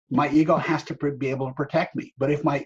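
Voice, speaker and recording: Somewhat breathy and fairly high-pitched, a man talks at a fairly quick pace. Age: 70s. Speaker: workshop facilitator. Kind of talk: webinar talk.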